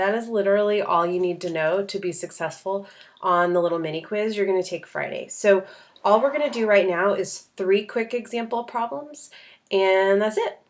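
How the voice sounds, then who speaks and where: A woman talks at a moderate pace and a medium pitch, with ordinary pitch variation. Hers is a plain, everyday voice. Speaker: high school math teacher. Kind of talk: tutorial.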